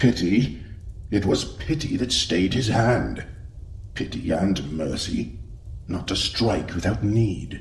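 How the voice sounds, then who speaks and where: A man's put-on character voice, fairly low in pitch and fairly slow in pace, over clear background noise. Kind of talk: audio drama. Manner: grave, measured.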